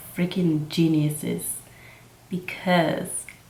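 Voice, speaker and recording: Amid noticeable background noise and audible room echo, a woman speaks in a monotone, flat intonation. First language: Mixtec. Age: 20s. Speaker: makeup vlogger. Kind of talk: casual chat.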